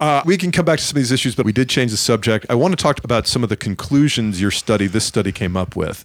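Recorded very cleanly against a silent background, a man with an unremarkable speaking voice talks at a medium pitch with lively intonation. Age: 50s. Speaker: podcast host and stand-up comedian. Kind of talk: interview conversation. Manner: joking, playful.

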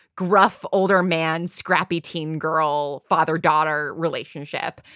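On a very clean recording with a silent background, a woman speaks at a very slow pace and a fairly low pitch, her bright, sharp tone carrying fairly even intonation. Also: dry, close sound with no echo. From New York, US Northeast. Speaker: audio drama creator and showrunner. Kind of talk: casual chat.

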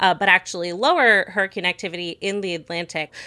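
The woman's voice has a bright, sharp tone. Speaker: science journalist and podcast host. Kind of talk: news discussion.

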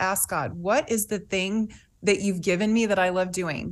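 Against a quiet background, a woman of medium pitch talks at a moderate pace with ordinary pitch variation. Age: 50s. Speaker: fitness author. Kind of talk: talk show interview. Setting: studio.

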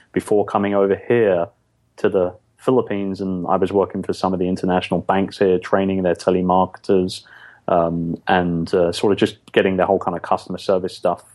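With a London accent, a man speaks at a fairly low pitch and a moderate pace in a monotone, flat intonation. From London, England. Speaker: podcast guest, business owner.

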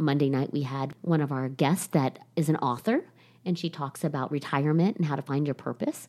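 A woman's very deep, low voice with a dark, mellow tone, ordinary pitch variation and a fairly quick pace. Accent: American. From Ohio. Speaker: salon company CEO. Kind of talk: interview.

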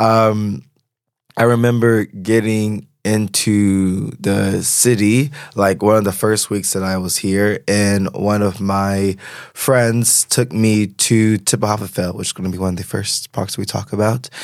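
This man has an ordinary speaking voice, fairly low in pitch, with fairly even intonation at a fairly slow pace. The recording is very clean, with a silent background. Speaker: podcast host. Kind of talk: solo podcast monologue.

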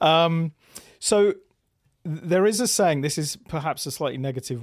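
Dry and close with no echo, the very clean recording with its silent background captures a man with a British accent speaking at a moderate pace with ordinary pitch variation. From England. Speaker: pickleball tour marketing executive. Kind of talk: podcast interview. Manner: halting.

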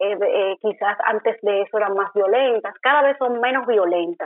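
A woman's fairly high-pitched voice, a normal speaking voice, at a moderate pace with ordinary pitch variation. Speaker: political scientist and journalist. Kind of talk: interview.

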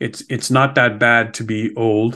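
A man with a Montreal accent, fairly slow and flat, monotone in delivery. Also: quiet background. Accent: Canadian (Montreal). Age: 60s. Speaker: podcast host, financial advisor. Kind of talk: interview.

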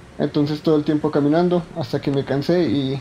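Moderate pace from a man with a fairly high pitch, noticeable background noise behind him. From Colombia, Bogotá savanna. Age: 20s. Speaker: philosopher telling personal story. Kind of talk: personal testimony. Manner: hesitant, many fillers.

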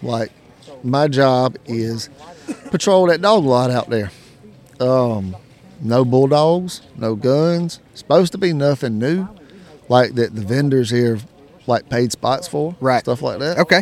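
In a Southern US accent, a man at medium pitch speaks at a very slow pace with lively intonation and long, frequent pauses. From South Carolina. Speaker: coon hunter and podcaster. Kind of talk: casual interview. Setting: event venue.

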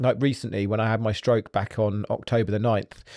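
Speaking at a very fast pace with an English accent, a man has a dark, mellow tone, heard in a dry, close sound with no echo against a quiet background. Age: 40s. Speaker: podcast host. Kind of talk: motivational monologue.

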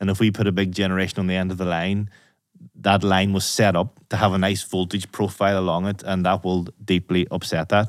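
In a Northern Irish accent, the speaker goes at a fairly quick pace with monotone, flat intonation in a very clean recording over a silent background. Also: man, very deep, low pitch for a man. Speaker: podcast host. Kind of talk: interview, technical discussion.

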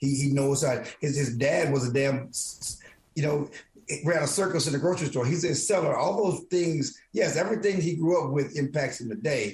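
At a moderate pace, a man with an American accent talks at a fairly high pitch. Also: ordinary pitch variation. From small-town Texas. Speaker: sports columnist. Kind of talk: casual sports discussion. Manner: halting, repeats words.

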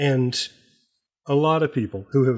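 On a very clean recording with a silent background, a man speaks at a moderate pace and medium pitch in a somewhat breathy voice. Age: 60s. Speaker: podcast creator and writer. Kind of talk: casual chat. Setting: on the road.

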